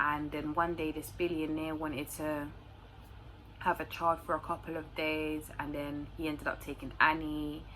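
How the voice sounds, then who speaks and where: Bright, sharp tone from a woman with a London accent, very deep and low in pitch, flat and monotone at a moderate pace. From London, England. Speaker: YouTuber. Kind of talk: casual Q&A monologue to camera.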